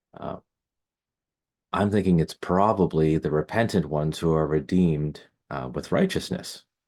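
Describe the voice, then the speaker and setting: On a very clean recording with a silent background, a soft-spoken man with a very deep, low pitch leaves long, frequent pauses. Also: ordinary pitch variation, moderate pace. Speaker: Hebraist and linguist. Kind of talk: Bible study lecture to camera.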